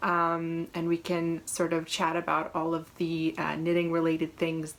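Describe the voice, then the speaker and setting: Here is a woman with an American accent. Her voice is fairly low in pitch. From New England, Massachusetts. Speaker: knitting podcaster. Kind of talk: casual chat. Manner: hesitant, many fillers.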